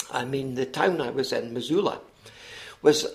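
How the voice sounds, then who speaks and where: A man speaks with a Scottish accent. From Scotland. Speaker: author and retired teacher. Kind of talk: interview. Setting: podcast. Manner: hesitant, many fillers.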